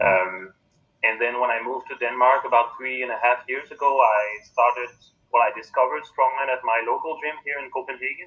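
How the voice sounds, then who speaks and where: Fairly quick talk from a man, the loudness rising and falling in big swings. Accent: French. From Quebec, Canada. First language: French. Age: 30s. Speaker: strongman athlete. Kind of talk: interview.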